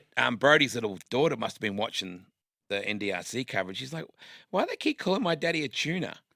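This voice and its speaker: A man with an Australian accent talks very fast, his bright, sharp voice making very wide pitch swings. The sound is dry and close with no echo, in a very clean recording with a silent background. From Western Australia (Perth). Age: 50s. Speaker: motorsport commentator. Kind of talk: casual interview chat.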